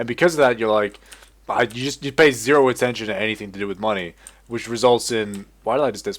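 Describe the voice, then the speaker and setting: Very fast and animated, a man speaks at medium pitch with ordinary pitch variation and big swings in loudness. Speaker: gaming video creator. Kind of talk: gameplay commentary. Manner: casual, animated.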